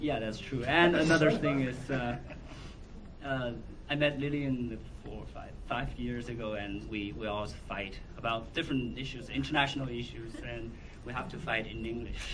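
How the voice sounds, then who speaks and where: A man with a Chinese accent at a medium pitch and moderate pace, ordinary pitch variation, noticeable background noise and audible room echo. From China, Wuhan. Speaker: documentary filmmaker. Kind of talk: Q&A at film screening. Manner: halting.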